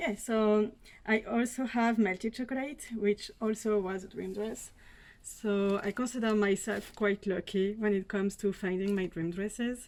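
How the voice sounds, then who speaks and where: A woman with a French accent talks at a moderate pace, her fairly high pitch held in a fairly even intonation. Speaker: fashion unboxing vlogger. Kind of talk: casual talk to camera.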